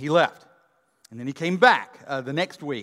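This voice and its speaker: Fairly quick and fairly high in pitch, a man speaks with lively intonation on a very clean recording with a silent background. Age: 50s. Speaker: pastor. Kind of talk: sermon. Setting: church. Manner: halting.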